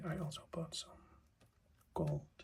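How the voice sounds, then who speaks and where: A man whispering. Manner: whispered.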